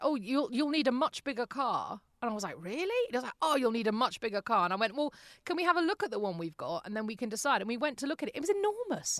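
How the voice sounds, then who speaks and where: Over a quiet background, a woman with a British accent talks at a very fast pace with very wide pitch swings, in a dry, close sound with no echo. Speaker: podcaster and former radio presenter. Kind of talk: interview. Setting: home voice booth in a closet.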